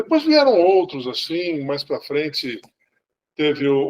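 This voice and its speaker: The man's delivery moves at a moderate tempo, and his pitch varies in an ordinary way. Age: 60s. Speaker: sci-fi fan club member. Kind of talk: casual chat. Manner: halting, many repetitions.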